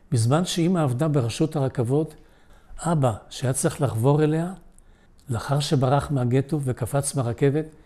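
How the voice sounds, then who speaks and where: A man with a somewhat breathy voice at a medium pitch. His tone is dark and mellow. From Israel, immigrated from Poland at age 7. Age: 80s+. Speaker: Holocaust survivor. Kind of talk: testimony. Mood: solemn, reflective. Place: home room. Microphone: lapel.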